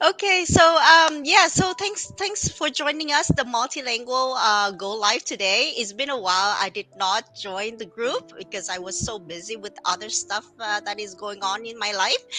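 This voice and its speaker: A fairly high-pitched woman with a Vietnamese accent, very wide pitch swings, big swings in loudness, a moderate pace and hardly any pauses, over music in the background. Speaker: business owner, live stream host. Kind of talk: casual live stream introduction.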